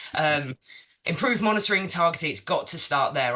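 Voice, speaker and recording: With lively intonation, a man talks while noticeable background noise is heard. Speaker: sustainability consultant. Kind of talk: presentation. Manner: fast.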